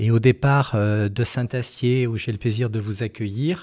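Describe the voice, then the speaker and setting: A man's dark, mellow tone at medium pitch, very slow, with fairly even intonation. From France, Périgord (Dordogne). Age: 60s. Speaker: company founder and CEO. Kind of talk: interview. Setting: company headquarters. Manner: hesitant, many fillers.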